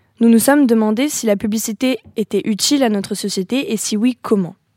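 A woman speaks at a fairly high pitch in a dark, mellow tone with fairly even intonation. The sound is dry and close, with no echo. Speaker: communication student. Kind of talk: scripted interview introduction; interview.

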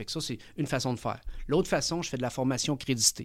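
A man's normal speaking voice at medium pitch, fairly quick in pace, on a very clean recording with a silent background. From Chile (Santiago), living in Quebec. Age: 40s. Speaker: entrepreneur, management consultant. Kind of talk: interview.

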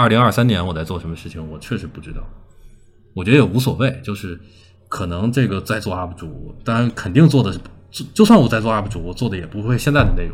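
A man with a fairly low, somewhat breathy voice talks at a very fast pace, using lively intonation and big swings in loudness. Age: 30s. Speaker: online video creator. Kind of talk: casual interview.

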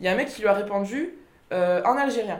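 A woman speaks with ordinary pitch variation, and the room echo is audible. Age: 20s. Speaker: young Basque interviewee. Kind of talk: documentary interview testimony.

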